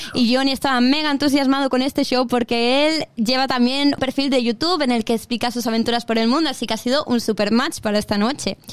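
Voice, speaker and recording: At a very fast pace with hardly any pauses, a woman with a strong Spanish accent speaks at a high pitch, keeping very even loudness and fairly even intonation. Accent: strong Spanish (Spain). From Mallorca, Spain. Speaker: radio host. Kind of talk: casual interview.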